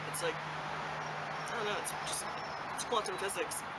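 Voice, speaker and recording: Through loud background noise, a woman talks at a moderate pace. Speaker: vlogger, channel host. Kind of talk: casual talk to camera. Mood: relaxed, reflective. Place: garden. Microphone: phone near.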